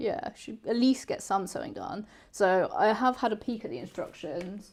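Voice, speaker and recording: A loud woman with a British accent, fairly high in pitch, with very wide pitch swings at a moderate pace, on a very clean recording with a silent background. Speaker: sewing channel host helping a beginner. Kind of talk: casual chat during live sewing stream. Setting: live stream.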